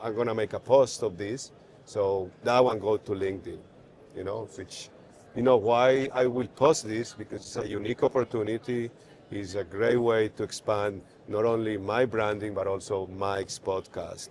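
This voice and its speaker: A man keeps a moderate pace, his intonation fairly even. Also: fairly low pitch for a man. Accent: Spanish. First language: Spanish. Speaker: neurosurgeon. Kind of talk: podcast interview. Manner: halting.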